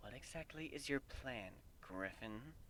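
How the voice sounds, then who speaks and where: A man's put-on character voice at medium pitch and a fairly slow pace, over clear background noise. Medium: read story.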